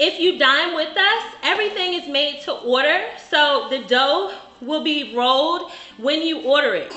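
A woman's high-pitched voice at a fairly slow pace, with audible room echo. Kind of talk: cooking demonstration explanation. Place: bar.

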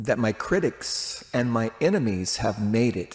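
This man's voice sits at a medium pitch and carries vocal fry. He speaks at a very slow pace. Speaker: street preacher. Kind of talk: confessional monologue to camera. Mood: earnest, confessional. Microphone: studio mic.

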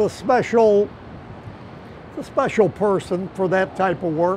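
Light background noise runs under speech at a fairly slow pace. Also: man. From Chicago. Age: 80s+. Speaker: ironworker. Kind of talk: interview answer. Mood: amused, storytelling.

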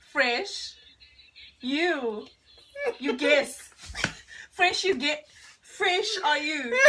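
Very slow and marked by long, frequent pauses, the raised, projected voice swings very widely in pitch over light background noise. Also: woman, high pitch for a woman. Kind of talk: casual talk to camera. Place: home room. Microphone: camera far.

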